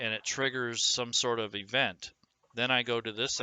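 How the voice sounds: The background is quiet throughout. The speaker uses a natural reading voice.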